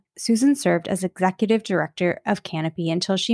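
In a very clean recording with a silent background and a dry, close sound with no echo, a woman has an ordinary speaking voice at a medium pitch, talking at a fairly quick pace with fairly even intonation. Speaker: podcast host. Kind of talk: interview, podcast conversation.

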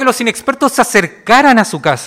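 Speaking at a moderate pace with a Chilean accent, a man uses an extremely high pitch with ordinary pitch variation. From Chile, Valparaíso. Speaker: pastor. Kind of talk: sermon.

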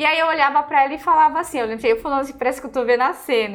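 The pitch moves up and down in an ordinary way. Music plays in the background. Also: woman. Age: 30s. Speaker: pastry chef and co-host. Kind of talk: casual chat.

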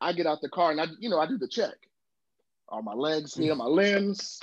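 With an American accent, a man talks at a moderate pace in an animated tone with lively intonation. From US South, Georgia (Savannah area). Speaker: podcast co-host. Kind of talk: storytelling.

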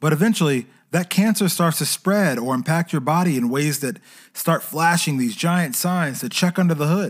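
On a very clean recording with a silent background, a man with a fairly high pitch talks at a moderate pace with ordinary pitch variation. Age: 30s. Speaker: podcast host and freelancer. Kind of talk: solo podcast monologue on personal finance.

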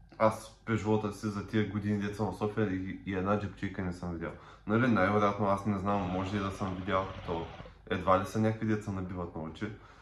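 A man talks at a fairly quick pace in a fairly low pitch, with monotone, flat intonation. There is audible room echo. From Bulgaria, Popovo (Targovishte). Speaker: podcast co-host. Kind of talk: casual chat.

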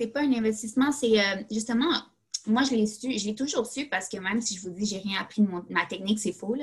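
A woman speaks with a Quebec accent and vocal fry. Her pitch is medium, with ordinary variation. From Quebec, Laval. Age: 20s. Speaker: graduate student. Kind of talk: casual chat.

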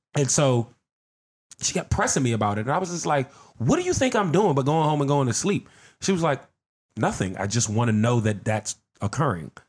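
A somewhat breathy man at a fairly quick pace, with very wide pitch swings and long, frequent pauses, in a very clean recording over a silent background. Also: medium pitch for a man. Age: 50s. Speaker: podcast guest. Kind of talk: casual chat.

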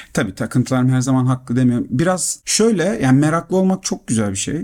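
On a very clean recording with a silent background, a man with a dark, mellow tone and a fairly high pitch talks at a fairly quick pace, his pitch swinging very widely. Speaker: podcast co-host. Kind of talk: casual chat.

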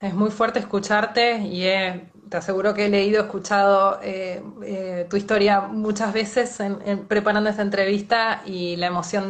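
The speaker has an Argentine accent and a fairly slow pace. The intonation is monotone and flat. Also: woman. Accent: Rioplatense Argentine Spanish. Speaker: journalist and interviewer. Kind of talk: interview. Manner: halting.

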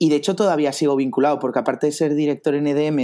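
A man's voice with a dark, mellow tone. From Spain, Barcelona. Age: 30s. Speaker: investor and China expert. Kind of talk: interview. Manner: halting, many repetitions.

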